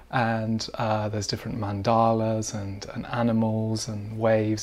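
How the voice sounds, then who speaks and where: This man speaks in a British accent at a medium pitch. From UK. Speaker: breathwork teacher and author. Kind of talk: interview.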